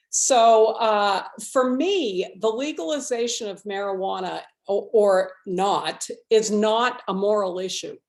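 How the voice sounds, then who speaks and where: In a very clean recording with a silent background, a woman with a fairly high pitch speaks at a very slow pace with ordinary pitch variation. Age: 60s. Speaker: state legislator. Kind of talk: panel forum presentation.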